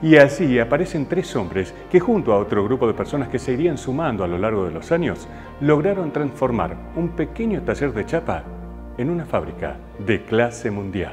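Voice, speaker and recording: With music in the background, the man moves at a moderate pace, his pitch swinging very widely. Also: medium pitch for a man. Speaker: professional event announcer. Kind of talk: documentary narration.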